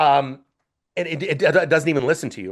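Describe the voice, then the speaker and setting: A man with vocal fry talks at a fairly quick pace in a fairly high pitch. The background is quiet. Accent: American. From Northern California. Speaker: podcast guest, customer service advocate. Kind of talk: podcast interview. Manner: fast-talking; repeats words, restarts.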